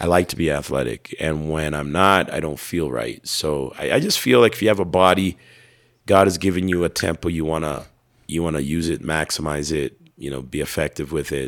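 The voice is raspy, moves at a fairly quick pace, and has ordinary pitch variation. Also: man, very deep, low pitch for a man. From Canada. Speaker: preacher and evangelist. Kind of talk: interview conversation, casual. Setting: interview in Ethiopia.

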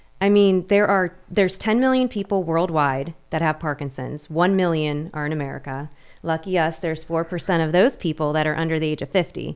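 Over a silent background in a very clean recording, a woman with an ordinary speaking voice talks at a fairly quick pace, her fairly low pitch showing ordinary variation. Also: hardly any pauses. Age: 30s. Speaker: podcast host with Parkinson's. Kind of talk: casual chat.

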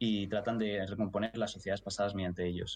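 A man speaks with fairly even intonation. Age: 20s. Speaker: archaeology student. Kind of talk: casual chat.

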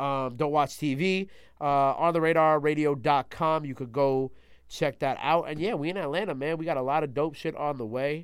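Someone speaks with a New York accent at a moderate pace. The intonation is fairly even, in a very clean recording with a silent background. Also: man, fairly high pitch for a man. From New York City (Queens and Long Island). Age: 20s. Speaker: radio host and platform founder. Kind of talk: casual interview chat.

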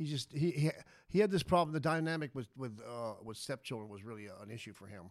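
At a fairly quick pace, a plain, everyday voice with an American accent and lively intonation comes through in a very clean recording with a silent background. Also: man. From Las Vegas, Nevada. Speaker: former prisoner. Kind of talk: interview, life story.

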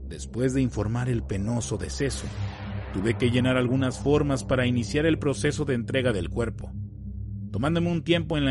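Music in the background behind a man at medium pitch and moderate pace. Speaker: channel narrator reading a story. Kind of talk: scripted horror narration, first-person ghost story. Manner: somber, grave.

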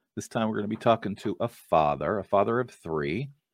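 The speech has lively intonation and is heard against a quiet background. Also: man. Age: 50s. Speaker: podcast host. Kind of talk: interview. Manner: hesitant, frequent fillers.

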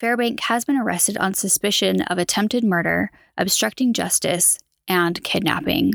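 A woman's unremarkable speaking voice at medium pitch, with ordinary pitch variation and a fairly quick pace, in dry, close sound with no echo. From Utah, US. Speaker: true crime podcaster. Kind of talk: true-crime news narration, scripted-sounding recap of headlines. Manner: serious, measured, somber.

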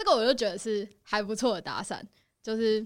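A woman with a normal speaking voice talks at a fairly quick pace in a fairly high pitch, on a very clean recording with a silent background. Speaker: host's friend. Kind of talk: casual chat.

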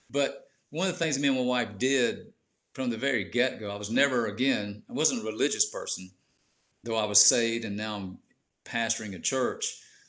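The pace is moderate. The background is quiet. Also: man, medium pitch for a man, ordinary pitch variation. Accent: Southern US. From US South, Georgia (Warner Robins). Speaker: pastor. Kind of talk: testimony.

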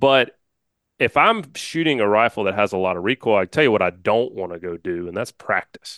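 With an American accent and a plain, everyday voice, a man speaks fairly low and fairly quickly with lively intonation, the sound dry and close with no echo against a quiet background. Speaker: hunting podcast host. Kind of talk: casual interview chat.

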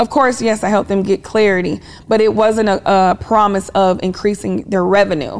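Here a woman with an American accent talks in an ordinary speaking voice at a moderate pace. Her pitch sits in the medium range, with fairly even intonation and very even loudness. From Kansas, US Midwest (military family). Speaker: business therapist. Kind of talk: interview conversation. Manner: firm, commanding.

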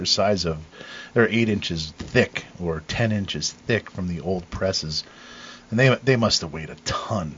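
A man speaks in a normal speaking voice at a moderate pace. His pitch is fairly low, with ordinary pitch variation. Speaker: cider maker, home-brew supplier. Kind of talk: casual chat.

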